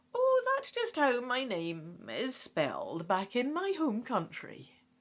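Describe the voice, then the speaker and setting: A female-sounding put-on character voice, pitched high. It moves at a fairly slow pace. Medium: read story. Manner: genteel, cagey.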